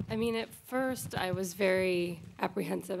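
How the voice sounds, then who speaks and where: A woman with an American accent at a fairly slow pace, with light background noise. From United States. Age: 20s. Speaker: actress. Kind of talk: press conference answers. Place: hall. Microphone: podium.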